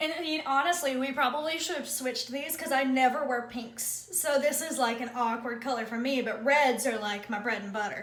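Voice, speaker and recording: Speaking with an American accent, a woman has a high pitch and talks at a fairly quick pace with hardly any pauses. Room echo is audible, and there is noticeable background noise. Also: ordinary pitch variation. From US South. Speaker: beauty vlogger. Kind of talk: casual chat.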